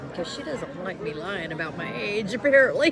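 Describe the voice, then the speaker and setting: Amid audible room echo and music in the background, a woman with an American accent speaks at a moderate pace with very wide pitch swings. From US South. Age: 60s. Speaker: vlogger's sister. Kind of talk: casual chat. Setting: restaurant.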